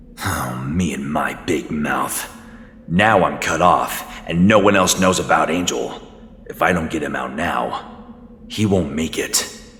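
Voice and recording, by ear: A man puts on a character voice at an extremely low pitch, with a fairly bright tone and ordinary pitch variation. He goes at a fairly slow pace over faint background noise.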